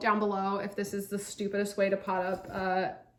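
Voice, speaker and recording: Moderate pace and medium pitch from a woman, noticeable noise in the background. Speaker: plant hobbyist vlogger. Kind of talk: casual chat while repotting. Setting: at home. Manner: chatty, casual.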